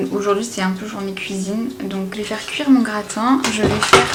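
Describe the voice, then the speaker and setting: A woman talks at a fairly high pitch. Noticeable background noise can be heard. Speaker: home cook vlogger. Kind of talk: casual cooking vlog talk to camera. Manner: whispered.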